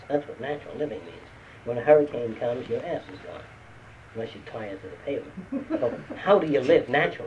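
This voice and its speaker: A man speaks at a fairly quick pace with light background noise behind him. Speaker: lecturer. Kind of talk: lecture. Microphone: old recording.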